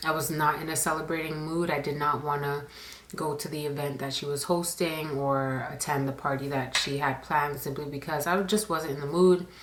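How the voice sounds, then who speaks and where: A woman's very deep, low voice with fairly even intonation comes through with audible room echo and noticeable background noise. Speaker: storytime YouTuber. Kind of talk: storytime monologue. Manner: quieter than usual, normal inside voice.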